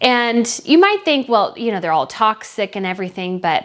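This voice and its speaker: A woman speaks at a fairly high pitch in a plain, everyday voice. Her pace is moderate and her intonation lively. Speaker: news commentator. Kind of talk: casual talk to camera.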